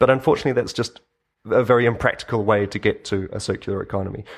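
A man with a New Zealand accent at a very fast pace. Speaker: open source video maker and agency co-founder. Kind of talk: interview. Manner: halting, many fillers.

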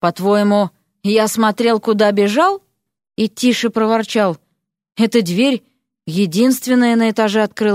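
Against a quiet background, the speaker uses an unforced reading voice with fairly even intonation.

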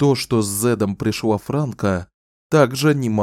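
Reading aloud in a natural voice, with ordinary pitch variation over a quiet background

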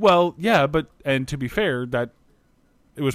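A man's normal speaking voice with lively intonation at a fairly quick pace, in a very clean recording over a silent background. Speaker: podcast co-host. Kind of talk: casual chat.

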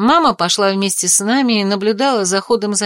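What you hear is an unforced reading voice.

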